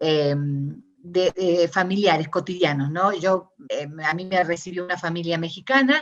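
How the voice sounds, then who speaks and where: With ordinary variation in her pitch, a woman talks at a medium pitch. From Argentina. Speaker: academic discourse analyst. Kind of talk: interview conversation. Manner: hesitant, many fillers.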